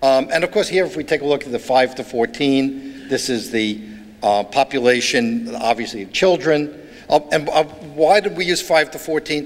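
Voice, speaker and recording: A man with a New York accent at a moderate pace, fairly high in pitch, with very wide pitch swings and noticeable background noise. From New York, Brooklyn. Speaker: author and urban studies speaker. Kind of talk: keynote lecture. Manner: halting.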